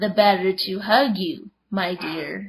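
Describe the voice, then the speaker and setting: In a put-on character voice, a raspy, female-sounding voice at medium pitch moves at a fairly slow pace. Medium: read story. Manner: sly, fake-sweet.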